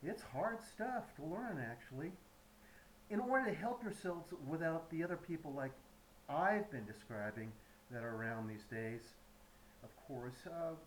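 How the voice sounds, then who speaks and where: Amid noticeable background noise, a man with a fairly high voice talks at a moderate pace, leaving long, frequent pauses. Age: 70s. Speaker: YouTube commentator. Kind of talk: prepared monologue. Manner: halting.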